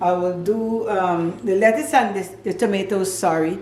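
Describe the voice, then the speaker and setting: There is audible room echo and noticeable background noise as a woman talks at a fairly slow pace with ordinary pitch variation. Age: 70s. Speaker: home cooking channel host. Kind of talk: cooking tutorial. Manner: casual, hesitant with fillers.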